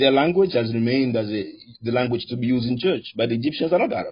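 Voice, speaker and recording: At a very fast pace, a man talks with lively intonation and a somewhat breathy, medium-pitched voice. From Sudan. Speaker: debate moderator. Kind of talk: heated debate.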